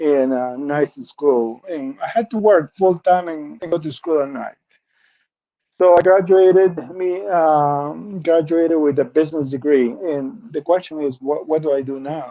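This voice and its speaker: Fairly high-pitched for a man, this speaker with a Spanish accent talks fairly slowly with ordinary pitch variation. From Peru. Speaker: benefits specialist. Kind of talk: interview.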